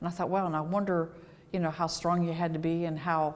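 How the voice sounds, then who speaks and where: Speaking at a fairly quick pace, a woman with a very deep, low pitch keeps her intonation fairly even. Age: 60s. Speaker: retired firefighter and EMT. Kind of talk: interview.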